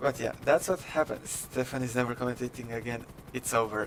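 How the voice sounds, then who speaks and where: A man of medium pitch with a non-native accent and fairly even intonation, against noticeable background noise. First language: not English. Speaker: esports race commentator. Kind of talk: live commentary.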